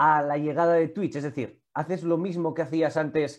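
Speaking at a fairly slow pace in an ordinary speaking voice, a man with a fairly high pitch is heard over a quiet background. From Vitoria, Basque Country. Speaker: YouTube and Twitch sports show host. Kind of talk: casual interview chat.

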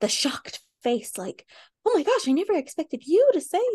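Her pitch swings very widely. The woman speaks with an American accent. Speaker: podcast co-host. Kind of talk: casual, frequent swearing.

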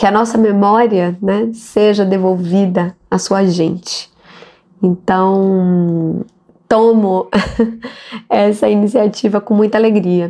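A woman's medium-pitched voice at a very slow pace, with fairly even intonation, very even loudness, and long, frequent pauses. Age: 40s. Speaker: actress and city councillor. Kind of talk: interview.

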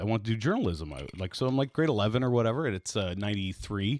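A man speaks with a Canadian accent and lively intonation. The sound is dry and close, with no echo. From East Toronto, Canada. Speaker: podcast host, former radio program director. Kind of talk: casual interview chat. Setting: home basement studio.

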